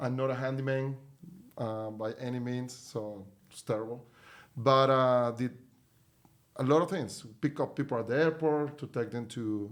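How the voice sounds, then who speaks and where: The speaker talks with a Spanish accent at a moderate pace, using fairly even intonation. Long pauses come often. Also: man, medium pitch for a man. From Venezuela. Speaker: company CEO. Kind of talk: podcast interview.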